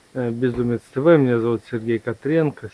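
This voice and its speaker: The sound is dry with no echo. A man talks at a fairly slow pace. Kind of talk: casual vlog chat. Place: workshop. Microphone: phone near.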